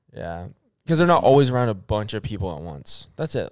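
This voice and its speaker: A man's medium pitch with very wide pitch swings at a fairly quick pace, in a very clean recording with a silent background. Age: 20s. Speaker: podcast co-host. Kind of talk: casual chat.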